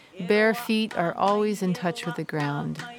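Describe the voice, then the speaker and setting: A woman speaks at a moderate pace with an American accent, her pitch medium and its variation ordinary. Noticeable background noise runs beneath her voice. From US mainland. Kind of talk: scripted narration.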